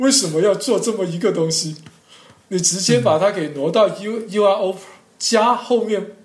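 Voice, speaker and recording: A man with a high pitch talks at a moderate pace with ordinary pitch variation and long, frequent pauses, over noticeable background noise. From Zhanjiang, Guangdong, China. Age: young. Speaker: character encoding expert. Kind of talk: interview. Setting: online call. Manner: halting.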